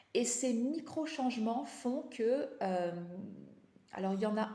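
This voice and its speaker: A somewhat breathy voice with a dark, mellow tone and ordinary pitch variation, amid audible room echo. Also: woman. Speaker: life coach. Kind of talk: live stream talk. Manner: halting, many fillers.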